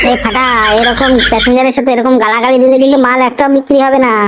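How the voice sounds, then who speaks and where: A cartoonish character voice at a very fast pace over loud background noise. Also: man, extremely high pitch for a man. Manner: coarse, swearing.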